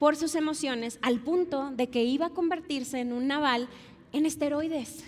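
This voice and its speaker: With a Monterrey accent, a woman talks at a moderate pace in a high pitch, with ordinary pitch variation and an animated tone. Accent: Monterrey (regio). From Mexico, Monterrey. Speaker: pastor. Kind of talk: sermon.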